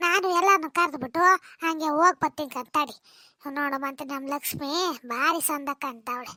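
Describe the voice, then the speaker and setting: A cartoonish character voice from a woman, high in pitch, fairly slow, with ordinary pitch variation, on a very clean recording with a silent background. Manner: chatty, boastful.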